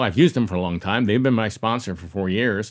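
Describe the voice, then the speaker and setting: A man speaks in a plain, everyday voice, pitched fairly low with ordinary pitch variation. The recording is very clean, with a silent background. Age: 60s. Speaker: conference organizer and podcaster. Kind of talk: interview.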